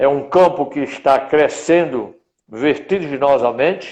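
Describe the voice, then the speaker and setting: With ordinary pitch variation, a man talks at a fairly slow pace in a fairly high pitch. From Rio Grande do Norte, Brazil. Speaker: veterinarian, professional council president. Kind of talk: interview. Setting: online live stream.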